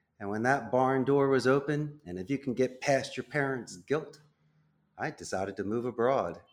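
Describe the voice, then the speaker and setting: Here a man talks with a Philadelphia accent. His pitch sits in the medium range. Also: ordinary pitch variation, moderate pace. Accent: Philadelphia American English. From Northeast Philadelphia, US. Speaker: call center CEO. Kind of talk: interview.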